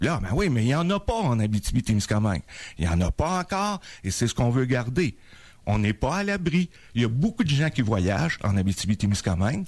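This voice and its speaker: Very wide pitch swings at a fairly quick pace in a very clean recording with a silent background. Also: man, medium pitch for a man. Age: 70s. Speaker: doctor. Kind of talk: radio interview.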